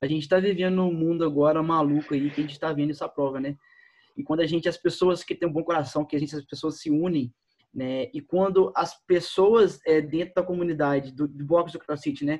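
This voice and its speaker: This man has a plain, everyday voice pitched fairly high and moves at a fairly quick pace. His intonation stays fairly even. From Minas Gerais, Brazil. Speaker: CrossFit coach. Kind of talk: casual chat.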